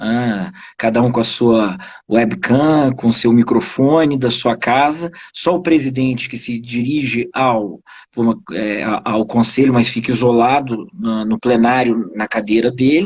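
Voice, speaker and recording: Talking at a fairly slow pace, a man uses a medium pitch with ordinary pitch variation. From Rio de Janeiro state, Brazil. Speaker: judicial council member. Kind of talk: live video interview. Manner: hesitant, many fillers.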